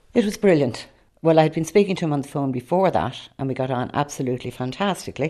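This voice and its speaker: Over a quiet background, a woman with an Irish accent talks very fast in a very deep, low voice with lively intonation. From Ireland, Dublin area (Rush). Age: 70s. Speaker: adoptee. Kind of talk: personal testimony.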